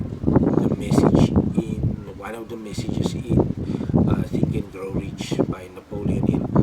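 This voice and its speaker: A man speaks with a non-native accent over noticeable background noise. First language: not English. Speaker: vlogger. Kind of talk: casual monologue. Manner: halting, many repetitions.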